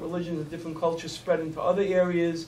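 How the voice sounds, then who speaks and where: A high-pitched man's voice with a Brooklyn accent and monotone, flat intonation, amid audible room echo and noticeable background noise. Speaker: judge. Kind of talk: panel discussion. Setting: community forum.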